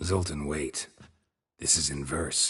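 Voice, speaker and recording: A man's raspy put-on character voice, very deep and low in pitch, with a deadpan tone. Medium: video game. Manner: terse, deadpan.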